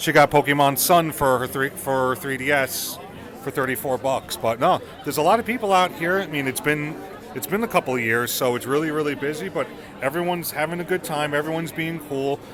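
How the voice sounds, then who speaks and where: A fairly high-pitched man with an American accent at a fairly quick pace, over noticeable background noise. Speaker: podcast host. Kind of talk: casual chat. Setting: busy expo floor.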